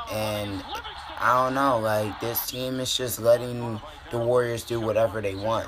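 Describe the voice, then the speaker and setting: Over noticeable background noise, a man talks fairly slowly at a medium pitch in a monotone, flat intonation. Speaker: sports fan YouTuber. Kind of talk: reaction commentary. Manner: emotional, frustrated fan.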